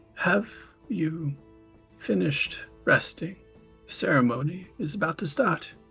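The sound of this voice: A put-on character voice at a middle pitch speaks at a moderate pace with long, frequent pauses as faint music plays in the background.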